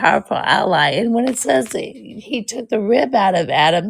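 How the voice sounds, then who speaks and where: A woman's fairly high voice with vocal fry and lively intonation, at a moderate pace. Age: 60s. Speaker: author. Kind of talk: interview.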